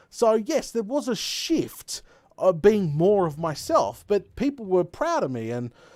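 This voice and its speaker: A high-pitched man with an Australian accent swings his pitch very widely on a very clean recording with a silent background. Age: 20s. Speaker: gaming streamer. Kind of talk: live stream chat. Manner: animated.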